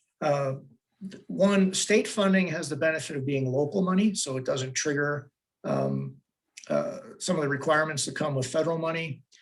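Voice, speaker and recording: At a moderate pace, the speaker sounds somewhat breathy, and the pitch varies in an ordinary way. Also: man, fairly high pitch for a man. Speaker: transportation planning agency director. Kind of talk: public board meeting staff report.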